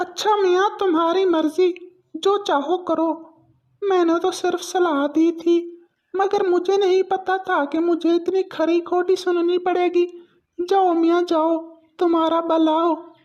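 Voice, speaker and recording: In a cartoonish character voice of extremely high pitch, the speaker goes at a fairly slow pace with monotone, flat intonation. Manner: pompous, theatrical pronouncements.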